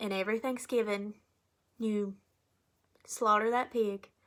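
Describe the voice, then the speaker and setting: A woman's very slow, fairly high, monotone and flat voice with a strong Appalachian Kentucky accent, on a very clean recording with a silent background. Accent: thick Appalachian Kentucky. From Eastern Kentucky, Appalachia. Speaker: college student. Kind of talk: class speech.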